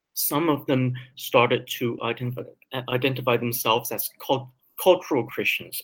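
At a moderate pace, a man with a medium pitch speaks in a somewhat breathy voice with fairly even intonation. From Taiwan, raised in Vancouver, Canada. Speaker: philosophy professor. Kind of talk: interview.

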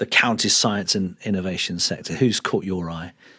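This man has a plain, everyday voice, speaking at a moderate pace with ordinary pitch variation. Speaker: podcast host. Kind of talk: podcast interview.

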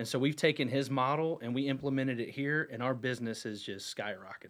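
A man speaks in a plain, everyday voice with an American accent. His pitch is medium and his intonation fairly even. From North Carolina, Huntersville. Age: 40s. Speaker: real estate broker. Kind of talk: casual radio interview. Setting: radio studio.

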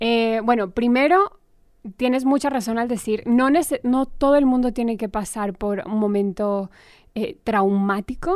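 Using a plain, everyday voice, a woman talks at a fairly slow pace with fairly high pitch and ordinary pitch variation. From Colombia, Armenia. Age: 30s. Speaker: actress. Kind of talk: interview.

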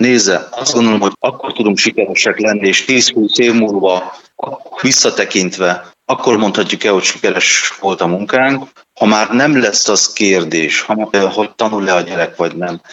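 A man with a plain, everyday voice speaks at a fairly low pitch and a moderate pace, with ordinary pitch variation and very even loudness. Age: 40s. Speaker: deputy mayor. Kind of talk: interview. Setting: phone call.

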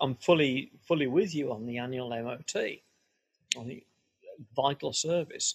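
A man's somewhat breathy voice at a moderate pace with ordinary pitch variation. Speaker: veterinarian and podcast co-host. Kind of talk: casual chat. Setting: video call.

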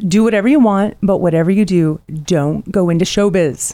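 In a very clean recording with a silent background, a woman speaks with lively intonation and a dark, mellow tone. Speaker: podcast host. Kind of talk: casual interview chat.

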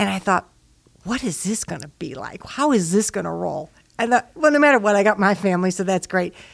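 Speaking at a fairly quick pace, a woman with a medium pitch uses lively intonation and vocal fry, on a very clean recording with a silent background. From Chicago, Illinois. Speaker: church member, parent. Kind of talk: casual chat.

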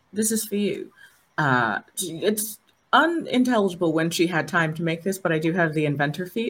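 This woman has an ordinary speaking voice, pitched fairly low. She talks at a moderate pace with lively intonation. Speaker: player in tabletop game. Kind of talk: tabletop role-playing stream, casual.

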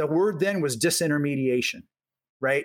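With an American accent, a man talks at a fairly high pitch with lively intonation. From US Midwest, Omaha, Nebraska. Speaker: venture capitalist. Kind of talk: interview. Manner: conversational, repeats words.

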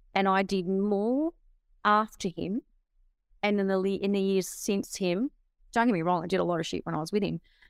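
A woman with an Australian accent speaks at a moderate pace and medium pitch, with ordinary pitch variation and long, frequent pauses. The sound is dry and close, with no echo. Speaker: author and motivational speaker. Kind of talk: interview.

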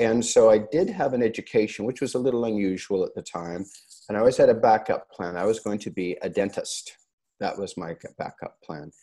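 At a fairly quick pace, a man talks with a Canadian accent. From Canada, Vancouver. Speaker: plastic surgeon and clinic owner. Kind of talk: interview.

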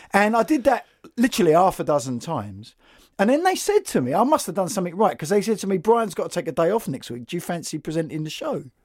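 A man with a London accent speaks very fast in a high voice, his pitch swinging very widely, on a very clean recording with a silent background. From London, west (Notting Hill area). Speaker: podcast host and writer. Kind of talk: casual interview conversation. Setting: recorded at a college venue.

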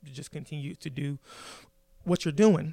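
Speaking fairly quickly with an American accent, a man has an unremarkable speaking voice, a fairly high pitch and fairly even intonation, recorded very cleanly against a silent background. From South Carolina, Midlands (Columbia). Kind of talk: interview.

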